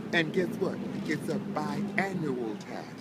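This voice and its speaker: Lively intonation marks this man's high-pitched voice. Both audible room echo and noticeable background noise can be heard. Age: 70s. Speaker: homeless man in a wheelchair. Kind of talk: casual chat. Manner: halting.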